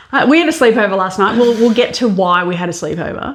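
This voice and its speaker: Here a woman with an Australian accent speaks in an animated tone. Her pitch is medium, with ordinary pitch variation. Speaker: podcast co-host. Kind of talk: casual chat. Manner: loud.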